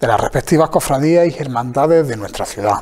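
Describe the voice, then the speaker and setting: The speaker is a man. His intonation is lively. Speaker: TV program host. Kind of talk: presenter introduction. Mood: warm, welcoming. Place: hall. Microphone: lapel.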